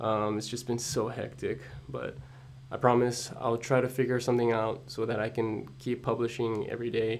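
This man's voice sits at a medium pitch and carries vocal fry. He talks at a moderate pace with fairly even intonation. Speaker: podcaster and vlogger. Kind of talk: solo podcast monologue. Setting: at home early morning. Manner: hesitant, many fillers; quiet, holding voice down.

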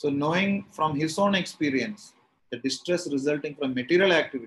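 A man with a Tamil accent. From India, Kerala. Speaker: spiritual teacher leading scripture class. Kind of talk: lecture. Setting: video call.

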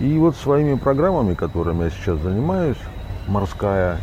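A man at a moderate pace, his pitch swinging very widely, with audible room echo and noticeable background noise. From Russian Far East. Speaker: journalist and TV editor. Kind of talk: interview. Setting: outdoors by the sea.

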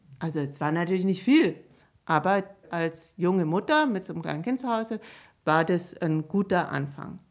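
At a moderate pace, a woman with a normal speaking voice talks at a fairly low pitch with lively intonation, on a very clean recording with a silent background. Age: 50s. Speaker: children's book author. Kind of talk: casual interview.

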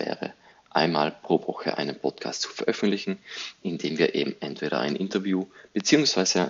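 The man talks at a fairly slow pace. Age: 30s. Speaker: podcast host, digital agency owner. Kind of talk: solo podcast introduction monologue.

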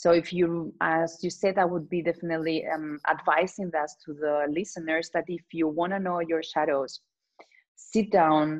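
A woman with a Spanish accent talks at a moderate pace in a fairly low pitch. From Spain. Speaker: transformational coach. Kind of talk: casual chat.

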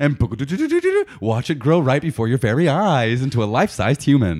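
Talking at a very fast pace with hardly any pauses, a man keeps his loudness very even at a fairly high pitch. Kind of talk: infomercial parody. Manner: bright, over-the-top salesman cheer.

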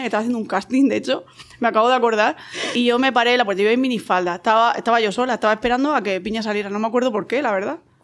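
A woman with a fairly high pitch and a Spanish accent, talking at a very fast pace with ordinary pitch variation against noticeable background noise. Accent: Spanish (Spain). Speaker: podcast guest. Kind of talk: casual chat.

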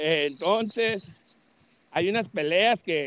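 A man speaks with ordinary pitch variation. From Los Angeles, California. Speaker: boxing channel host. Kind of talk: casual chat.

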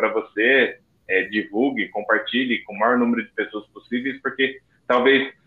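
A man is speaking. Music plays in the background. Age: 30s. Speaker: podcast co-host, recovering addict. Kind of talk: casual podcast chat.

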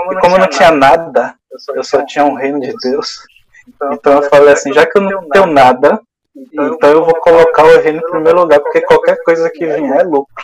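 A fairly quick pace from a man with a high pitch and ordinary pitch variation. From Bahia interior, Brazil. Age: 40s. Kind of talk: testimony.

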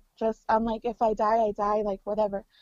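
A fairly high-pitched woman's voice in an American accent. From California, Mexican American. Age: 20s. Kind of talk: casual interview conversation. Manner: halting, many fillers and repeats.

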